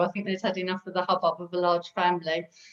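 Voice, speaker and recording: A woman at a very fast pace amid noticeable background noise. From North London. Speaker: recovering alcoholic sharing her story. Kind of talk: interview testimony.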